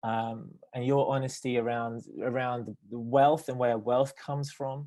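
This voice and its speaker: Speaking fairly slowly in a British accent, a man keeps a medium pitch and fairly even intonation. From Britain. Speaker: theologian and nonprofit director. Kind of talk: panel discussion. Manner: hesitant, many fillers.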